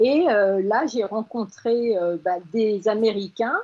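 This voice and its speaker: A woman speaks with a medium pitch, ordinary pitch variation and an ordinary speaking voice. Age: 60s. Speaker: agency founder. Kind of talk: radio interview.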